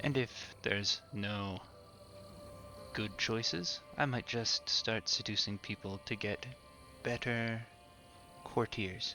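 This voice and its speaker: Over music in the background, a man at medium pitch speaks at a very slow pace in a calm, soothing tone, with ordinary pitch variation and long, frequent pauses. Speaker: game commentator. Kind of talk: relaxing gameplay commentary for sleep. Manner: gentle.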